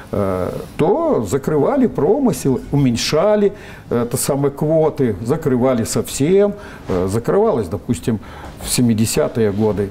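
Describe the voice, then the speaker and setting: Noticeable background noise sits behind a man with a medium pitch. He speaks at a fairly slow pace with very wide pitch swings. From Russian Far East, Vladivostok. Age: 70s. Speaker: scientist, biotechnologist. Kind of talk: interview. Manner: hesitant, many filler sounds.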